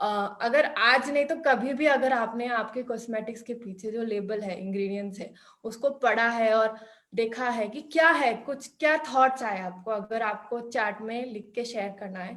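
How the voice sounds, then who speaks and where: Hardly pausing, a woman with a non-native accent talks at a fairly high pitch with ordinary pitch variation and big swings in loudness. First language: not Hindi (speaking Hindi). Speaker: workshop instructor. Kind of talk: online workshop. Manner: halting, many fillers.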